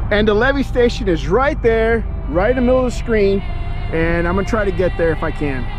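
A man talks fairly quickly in a dry, echo-free sound, with noticeable noise in the background. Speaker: explorer vlogger. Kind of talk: casual vlog chat. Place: open country. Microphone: phone near.

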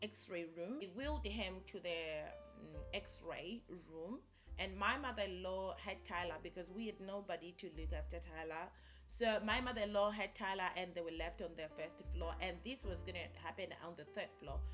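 A woman at a moderate pace over clear music in the background. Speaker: vlogger. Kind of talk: casual vlog storytelling. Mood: animated, recounting shocking story. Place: home room.

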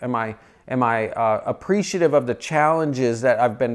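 Quiet surroundings, a man's voice, a moderate pace and ordinary pitch variation. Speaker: motivational host. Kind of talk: motivational talk to camera. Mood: calm, encouraging. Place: home room.

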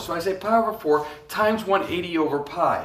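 A man speaks at a high pitch. There is audible room echo. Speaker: math teacher. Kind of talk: lecture. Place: classroom. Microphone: phone near.

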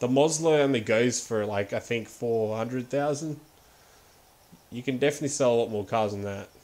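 A man of medium pitch with an Australian accent. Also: ordinary pitch variation, moderate pace. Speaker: gaming livestreamer. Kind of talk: live game stream chat. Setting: home livestream setup. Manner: casual, frequent laughter.

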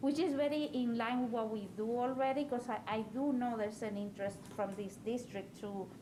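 A woman with a fairly high pitch and ordinary pitch variation is heard with audible room echo and noticeable background noise. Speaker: school board member. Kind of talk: board meeting discussion. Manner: fast.

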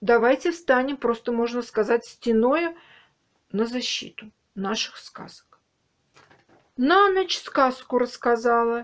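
A very slow pace with ordinary pitch variation. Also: woman. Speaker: video blogger commenting. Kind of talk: casual vlog chat, commentary. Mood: mocking, indignant. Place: home room. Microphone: webcam.

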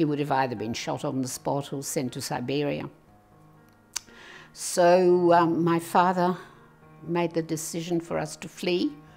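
Faint music plays in the background as the voice moves at a fairly slow pace. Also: woman. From Serbia, Russian parents, then Australia. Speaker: interviewee recounting her life; interviewee. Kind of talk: personal testimony. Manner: hesitant, with fillers. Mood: reflective, emotional memories. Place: home room.

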